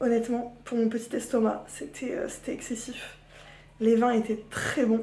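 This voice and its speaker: Audible room echo surrounds a woman whose fairly high voice holds a monotone, flat intonation. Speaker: vlogger. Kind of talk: casual vlog. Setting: at home. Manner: chatty, hesitant with fillers.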